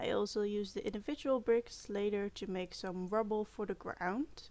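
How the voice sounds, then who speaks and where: With a non-native accent, a woman speaks at a moderate pace and medium pitch, using ordinary pitch variation. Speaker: video game content creator. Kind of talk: gameplay build commentary. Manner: hesitant, many fillers.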